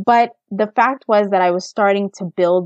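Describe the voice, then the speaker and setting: A woman speaks in a plain, everyday voice with an American accent. Her intonation is fairly even and her pace moderate. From United States. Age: 30s. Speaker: personal finance blogger. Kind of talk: interview.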